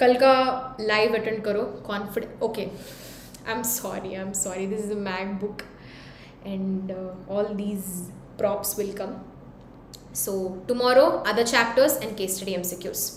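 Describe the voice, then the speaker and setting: A woman with an Indian accent speaks at a fairly slow pace with fairly even intonation, long, frequent pauses and big swings in loudness, amid audible room echo and noticeable background noise. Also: medium pitch for a woman. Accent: Indian English, Telugu. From India, Hyderabad. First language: Telugu. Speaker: teacher. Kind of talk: live-stream Q&A revision class. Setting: YouTube live stream. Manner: code-switching Hindi and English.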